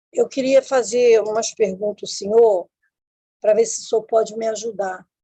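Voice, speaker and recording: Recorded dry and close with no echo, a woman speaks with a dark, mellow tone at a fairly high pitch. Her intonation is fairly even and her pace fairly slow. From Rio de Janeiro, Brazil. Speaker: caller. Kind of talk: asking for advice.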